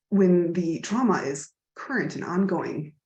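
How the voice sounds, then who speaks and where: With an American accent, a woman at a fairly low pitch speaks with lively intonation and vocal fry. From United States. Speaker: webinar host. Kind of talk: webinar moderation.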